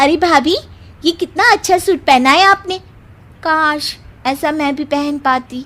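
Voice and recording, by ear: A woman performs a cartoonish character voice at a high pitch. She speaks fairly slowly.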